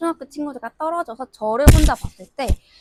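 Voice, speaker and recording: A woman talks at a moderate pace in a plain, everyday voice. The sound is dry and close, with no echo. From South Korea. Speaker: international student graduate. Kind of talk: interview.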